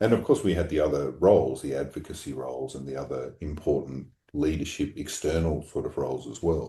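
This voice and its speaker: With an Australian accent, a man speaks at a moderate pace in a dark, mellow tone with vocal fry and ordinary pitch variation. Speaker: obstetrician and medical college leader. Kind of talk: podcast interview.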